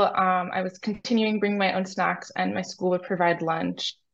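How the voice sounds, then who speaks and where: Speaking at a fairly quick pace, a woman talks with an American accent. Her pitch varies in an ordinary way against a quiet background. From US Northeast, New York City. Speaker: clinical research coordinator. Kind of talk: interview. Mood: calm, friendly. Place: home room. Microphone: video call.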